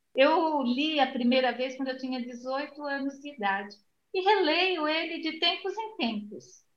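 Ordinary pitch variation carries the words along at a fairly slow pace. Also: woman. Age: 60s. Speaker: retired library employee and author. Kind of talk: interview.

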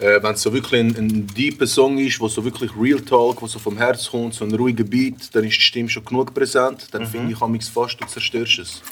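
The speech runs fairly quickly in a monotone, flat intonation with hardly any pauses. Noticeable background noise sits behind it. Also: man, medium pitch for a man. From Zürich Oberland, Switzerland. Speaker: rapper. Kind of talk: casual chat.

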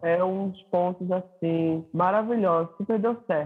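Moderately paced, a man talks in a high pitch. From Recife, Brazil.

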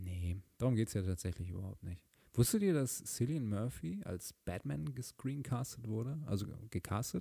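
On a very clean recording with a silent background, a man with a fairly low pitch and a dark, mellow, somewhat breathy tone speaks at a moderate pace in a calm, soothing tone with lively intonation. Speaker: podcast host. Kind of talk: casual solo monologue.

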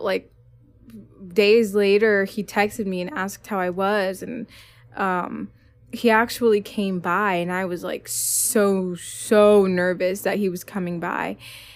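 Spoken with an American accent at a very slow pace, the voice plays over music in the background. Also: woman. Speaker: podcast co-host. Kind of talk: casual chat. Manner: animated.

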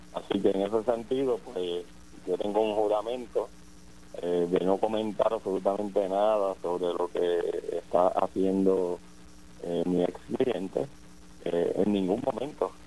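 Fairly low in pitch with a dark, mellow tone, a man talks at a fairly slow pace using fairly even intonation. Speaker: defense lawyer. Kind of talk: phone interview.

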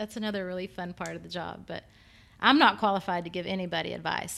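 Recorded very cleanly over a silent background, a woman speaks with a Texan accent. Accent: Texan American. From Texas. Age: 40s. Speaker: fitness business owner and trainer. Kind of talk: casual interview.

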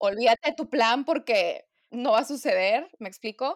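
Lively intonation in a plain, everyday voice, fairly slow in pace. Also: woman, very clean recording, silent background. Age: 20s. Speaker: nutritionist. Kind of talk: casual chat.

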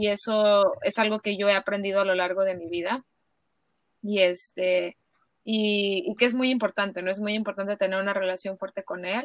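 A woman speaks at a moderate pace with a medium pitch. The sound is dry and close, with no echo. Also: fairly even intonation. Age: 30s. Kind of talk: casual interview. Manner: halting.

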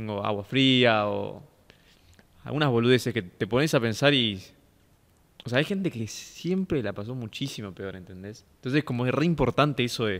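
With a plain, everyday voice, a man of medium pitch talks at a moderate pace using lively intonation. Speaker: podcast host. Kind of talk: casual interview.

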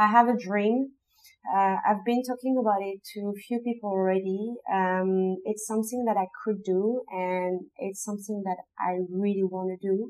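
Speaking with a French accent, a woman keeps a medium pitch, fairly even intonation and a moderate pace. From southern France (Nîmes). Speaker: street artist and muralist. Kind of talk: casual interview. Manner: halting, many fillers.

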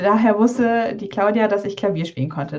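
The voice is somewhat breathy, with a dark, mellow tone. It moves at a moderate pace with lively intonation. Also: woman. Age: 20s. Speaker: doctor and carnival band pianist. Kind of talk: casual interview.

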